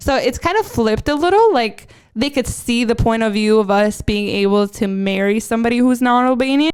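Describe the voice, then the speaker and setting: A woman with an unremarkable speaking voice talks at a fairly quick pace and a fairly high pitch, with hardly any pauses. Her loudness stays very even, and her pitch variation is ordinary. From Albania, moved to US at 11. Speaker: podcast co-host. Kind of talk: casual chat.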